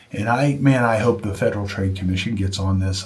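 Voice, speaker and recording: Audible room echo surrounds a man's somewhat breathy voice. His intonation stays fairly even. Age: 60s. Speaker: junk removal business owner. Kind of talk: casual vlog monologue. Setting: home studio. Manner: halting, with many fillers and restarts.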